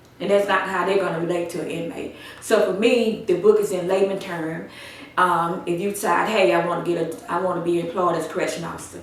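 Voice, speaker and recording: Speaking at a fairly quick pace with fairly even intonation, a woman with an American accent and a fairly low pitch is heard over noticeable background noise and audible room echo. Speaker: author and corrections trainer. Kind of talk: interview.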